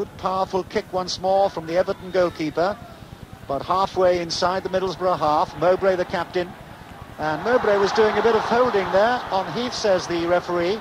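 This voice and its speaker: A man speaks with a high-pitched voice. Noticeable background noise runs underneath. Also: moderate pace. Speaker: radio football commentator. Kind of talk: live radio sports commentary.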